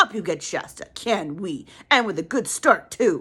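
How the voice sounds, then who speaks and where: In a put-on character voice, a female-sounding voice at a medium pitch swings very widely up and down at a moderate pace. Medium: read story. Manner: bluff, confident.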